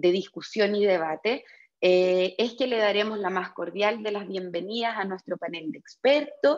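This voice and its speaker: Against a quiet background, a woman speaks at a fairly slow pace with a medium pitch and ordinary pitch variation. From Chile. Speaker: panel moderator, design educator. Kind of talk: panel discussion moderation. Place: office. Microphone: earbuds.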